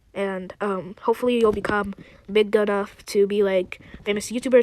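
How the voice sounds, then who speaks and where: Noticeable background noise surrounds a woman who speaks in a fairly high pitch at a moderate pace, her intonation monotone and flat. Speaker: YouTube artist. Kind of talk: tutorial. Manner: hesitant, many fillers.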